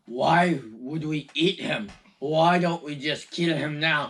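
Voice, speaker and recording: In a put-on character voice, this man talks at a fairly high pitch and a fairly slow pace. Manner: sinister.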